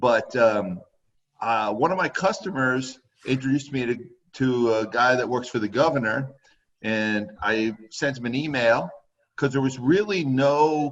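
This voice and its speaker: Speaking at a fairly slow pace with an American accent, a man uses medium pitch, ordinary pitch variation and an ordinary speaking voice. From Connecticut (Woodbury/Waterbury). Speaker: horse trainer. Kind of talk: casual interview chat.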